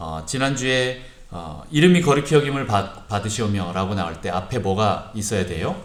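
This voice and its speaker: Audible room echo surrounds a man speaking at a moderate pace with vocal fry. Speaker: pastor. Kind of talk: sermon. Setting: church service. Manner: calm, soothing.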